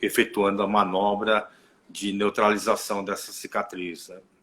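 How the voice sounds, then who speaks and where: At a moderate pace, a man with fairly low pitch speaks in a monotone, flat intonation while his loudness swings widely. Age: 60s. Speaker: therapist. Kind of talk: casual live stream chat. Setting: online live stream. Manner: halting.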